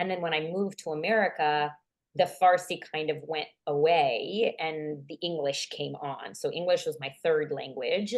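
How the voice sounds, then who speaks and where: Pitched fairly low, a woman speaks at a moderate pace with ordinary variation in her pitch. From Iranian Armenian, raised in the US from childhood. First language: Armenian. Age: 30s. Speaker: psychologist. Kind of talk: interview.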